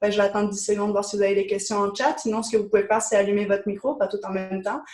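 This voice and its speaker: Very fast, fairly even intonation from a woman. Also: medium pitch for a woman. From France. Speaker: business coach. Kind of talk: webinar presentation.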